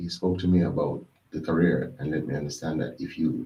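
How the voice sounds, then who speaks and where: In a Jamaican accent, a man speaks with a very deep, low pitch, a dark, mellow tone, ordinary pitch variation and a somewhat breathy quality. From Jamaica, Westmoreland. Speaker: executive chef. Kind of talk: interview. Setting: studio. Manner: fast; halting, repeats words.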